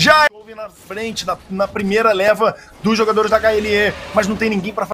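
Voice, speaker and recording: Here a man projects his voice loudly at a high pitch. Noticeable background noise runs underneath. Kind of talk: esports commentary, play-by-play of a match. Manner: fast, excitable, punchy shout-out delivery; dramatic, theatrical, with catchphrases and wordplay.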